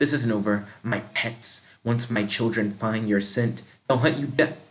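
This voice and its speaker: Putting on a menacing, hissing character voice, a man speaks at a medium pitch and a moderate pace. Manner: hissing, menacing.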